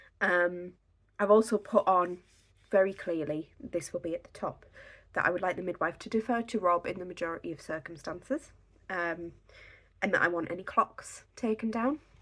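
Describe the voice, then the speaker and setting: This woman has an English accent. Her loudness rises and falls sharply. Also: medium pitch for a woman, ordinary pitch variation, moderate pace. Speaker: podcast host. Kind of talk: tutorial. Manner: casual, with many fillers.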